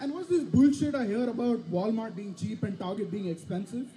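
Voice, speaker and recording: Speaking with an Indian accent, a man uses an extremely high pitch and lively intonation at a fairly quick pace. Room echo is audible. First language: Indian language. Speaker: student comedian. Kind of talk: stand-up. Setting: stage with audience.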